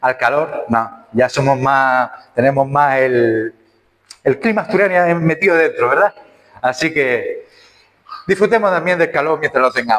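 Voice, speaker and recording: In a Canarian accent, a man speaks at a fairly slow pace with a fairly high pitch. His intonation is lively and his loudness very even. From Canary Islands. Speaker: preacher. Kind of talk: sermon. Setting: church.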